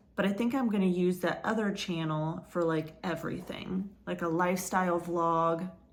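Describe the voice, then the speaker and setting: A woman speaks at a fairly slow pace with fairly low pitch and fairly even intonation. Audible room echo surrounds her voice. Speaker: crochet vlogger. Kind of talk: casual vlog chat.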